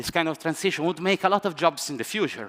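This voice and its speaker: This man's voice sits fairly high in pitch. His tone is bright and sharp. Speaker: economics professor. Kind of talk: panel debate. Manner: fast; halting.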